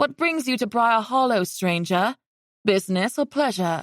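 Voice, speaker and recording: A woman's put-on character voice, fairly high in pitch, at a moderate pace in a very clean recording with a silent background. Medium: read story. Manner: guarded, dry.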